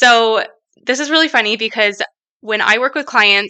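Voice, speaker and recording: Bright and sharp in tone, a woman's voice shows ordinary pitch variation. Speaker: online health coach, podcast host. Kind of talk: unscripted solo podcast monologue. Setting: home gym in basement. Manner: animated, speaks with hands.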